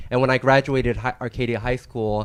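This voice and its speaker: A man's medium-pitched voice with an American accent at a very fast pace, monotone and flat in intonation, against a quiet background. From San Gabriel Valley, California, partly Argentina. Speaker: attorney. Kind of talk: career panel talk.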